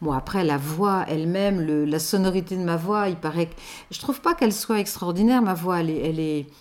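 The woman's pitch is fairly low, with ordinary variation. She talks at a fairly quick pace. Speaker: voice-over artist for station announcements. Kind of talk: interview testimony. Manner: hesitant, many repeated words and fillers.

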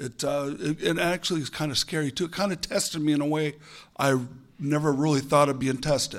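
A man talks at a fairly quick pace in an unremarkable speaking voice. His pitch is fairly high, his intonation fairly even. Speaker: former student, lab technician. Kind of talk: panel discussion. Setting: stage with audience.

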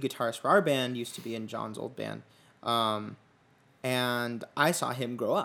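A man with an unremarkable speaking voice talks at a moderate pace, his pitch medium. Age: 20s. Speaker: podcast host and musician. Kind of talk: casual chat.

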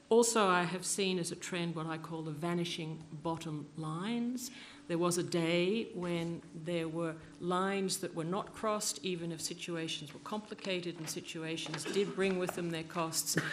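Using an ordinary speaking voice, the woman's moderate pace pairs with fairly even intonation and a fairly low pitch. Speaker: former UN refugee protection official. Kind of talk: panel discussion. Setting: conference panel with audience.

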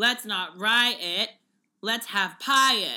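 Bright, sharp and animated in tone, a woman speaks with an American accent. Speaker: podcast co-host. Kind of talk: casual chat. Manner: animated, frequent laughter.

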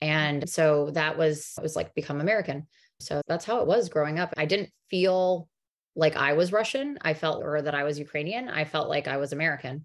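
This woman talks at a fairly quick pace. Her pitch is very deep and low. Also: ordinary pitch variation. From US, New Jersey. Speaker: emergency physician. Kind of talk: interview.

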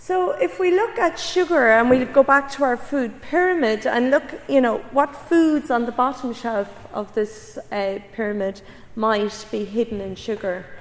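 With a Cork accent, a woman speaks at a fairly slow pace and a fairly high pitch. Her intonation is lively over noticeable background noise. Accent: Cork Irish. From Ireland, Cork area. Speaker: public health researcher. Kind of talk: public lecture.

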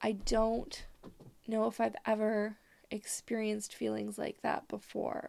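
At a slow pace, a woman speaks in a monotone, flat intonation at a fairly high pitch, her slightly mellow tone touched with vocal fry.

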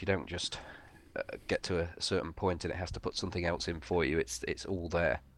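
A man speaks with a very deep, low pitch and vocal fry. His intonation is fairly even, over a quiet background. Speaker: gaming podcast co-host. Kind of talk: casual chat while gaming.

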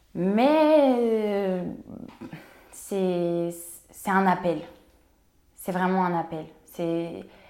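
Speaking very slowly, a woman leaves long, frequent pauses in a dark, mellow tone at medium pitch. Room echo can be heard. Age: 20s. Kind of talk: casual interview conversation. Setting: co-working space. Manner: animated, energetic.

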